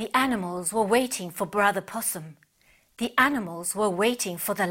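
An unforced reading voice with ordinary pitch variation, over a quiet background.

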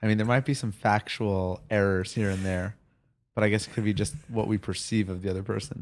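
A man with a Long Island accent talks fairly quickly at a fairly low pitch, his intonation fairly even. The tone is deadpan, and the background is quiet. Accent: Long Island New York. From Long Island, US. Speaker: podcast co-host. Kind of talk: casual banter chat. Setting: home recording with two microphones. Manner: joking, bantering, deadpan.

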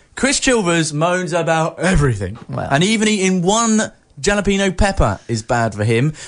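In an animated tone, a man speaks with a high pitch and very wide pitch swings. There is noticeable background noise. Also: moderate pace. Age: 30s. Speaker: local radio breakfast co-host. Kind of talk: casual chat. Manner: animated, laughing.

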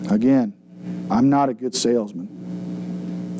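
A man talks over noticeable background noise. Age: 30s. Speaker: pastor. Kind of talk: Bible study teaching. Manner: casual.

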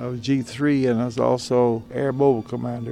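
With music in the background, a man talks at a moderate pace and medium pitch. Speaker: retired army colonel, war veteran. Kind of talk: interview.

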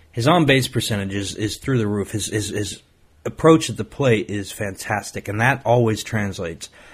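In a very clean recording with a silent background, a man speaks at a moderate pace in a fairly low, somewhat breathy voice with ordinary pitch variation. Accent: American. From Ohio, US Midwest. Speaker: sports podcast host. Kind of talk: solo podcast monologue. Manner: halting, with many repetitions.

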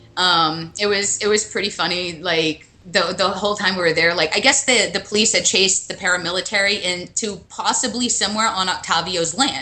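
Over noticeable background noise, a woman with an American accent talks at a fairly quick pace with hardly any pauses, using a medium pitch and ordinary pitch variation. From USA. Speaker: travel blogger and photographer. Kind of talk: interview. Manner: hesitant, many fillers.

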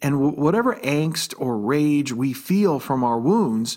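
A man with an unremarkable speaking voice and a fairly high pitch talks at a fairly slow pace with lively intonation, in a very clean recording with a silent background. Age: 50s. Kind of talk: devotional talk.

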